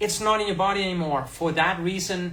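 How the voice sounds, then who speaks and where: Audible room echo surrounds a man with a slight Danish accent and fairly even intonation. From Denmark. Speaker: health content creator. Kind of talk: livestream tutorial. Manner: casual, halting.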